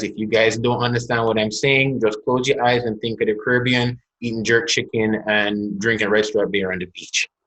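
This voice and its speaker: With a Jamaican accent, a man talks at a moderate pace using fairly even intonation. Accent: Jamaican, evident. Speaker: corporate executive and business owner. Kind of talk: webinar conversation.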